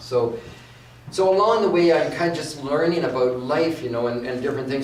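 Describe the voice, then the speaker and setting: Through noticeable background noise and audible room echo, a man speaks with ordinary pitch variation. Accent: Canadian. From Canada, West Vancouver. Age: 60s. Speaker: inspirational speaker. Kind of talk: guest talk at church service. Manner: halting, repeats words.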